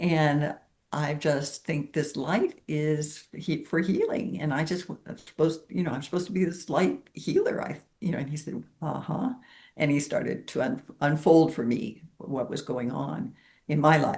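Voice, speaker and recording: At a moderate pace, a woman with a very deep, low pitch speaks with lively intonation and a somewhat breathy quality. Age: 70s. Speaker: spiritual healer sharing her story. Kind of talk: interview testimony.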